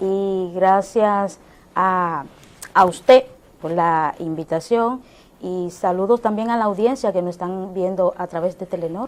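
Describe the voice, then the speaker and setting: At a very slow pace, a woman talks with a medium pitch and ordinary pitch variation. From Dominican Republic, Santo Domingo. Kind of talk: TV interview testimony. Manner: halting, many fillers.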